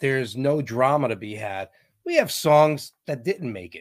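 An ordinary speaking voice: a man with an American accent, medium pitch and lively intonation at a moderate pace. The recording is very clean with a silent background. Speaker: band vocalist and drummer. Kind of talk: casual interview chat.

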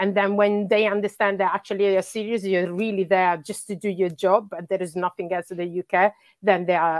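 In an Italian accent, a woman talks at a fairly quick pace with hardly any pauses. Her intonation is monotone and flat, and the sound is dry and close with no echo. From Italy. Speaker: youth football coach. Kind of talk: interview. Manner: halting.

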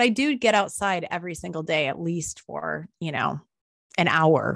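Against a quiet background, a woman talks fairly slowly at a fairly low pitch in a plain, everyday voice. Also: dry, close sound with no echo. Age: 40s. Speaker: wilderness guide and trauma recovery coach. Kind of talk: interview.

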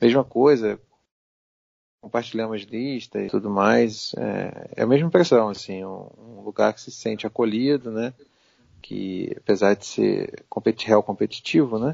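A normal speaking voice, this man talks at a fairly slow pace in a medium pitch, with ordinary pitch variation and big swings in loudness. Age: 40s. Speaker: journalist and game caster. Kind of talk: casual chat.

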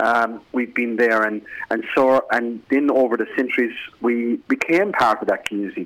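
Against noticeable background noise, a man speaks at a medium pitch with ordinary pitch variation. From Ireland. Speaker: business founder and executive. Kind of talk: radio interview. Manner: slow, deliberate delivery.

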